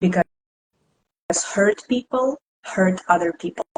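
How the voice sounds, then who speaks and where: With a Russian accent, a woman speaks in a somewhat breathy, medium-pitched voice, recorded dry and close with no echo. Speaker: tarot reader and esoteric teacher. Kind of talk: live stream discussion.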